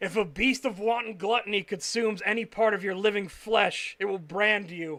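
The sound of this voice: An unforced reading voice with intonation that stays fairly even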